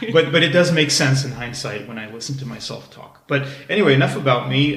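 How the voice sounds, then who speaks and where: The speaker barely pauses, with big swings in loudness, audible room echo and noticeable background noise. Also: man. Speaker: podcast guest, host's husband. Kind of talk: casual chat. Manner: calm.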